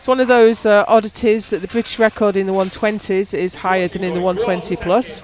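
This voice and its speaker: The speaker barely pauses at all. Noticeable background noise runs underneath. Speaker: powerlifting commentator. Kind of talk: live commentary. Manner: slow.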